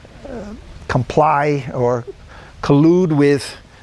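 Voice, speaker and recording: Noticeable background noise beneath a man's voice with ordinary pitch variation. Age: 70s. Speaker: group dialogue facilitator. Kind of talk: reflective group dialogue. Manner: halting.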